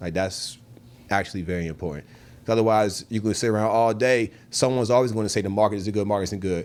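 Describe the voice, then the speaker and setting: A man speaks at a very fast pace. His fairly low pitch shows ordinary variation. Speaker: realtor. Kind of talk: casual interview.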